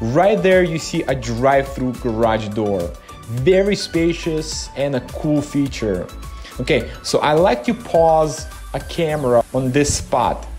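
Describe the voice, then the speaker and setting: Fairly slow speech over faint background music. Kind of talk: casual vlog tour narration. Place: garage.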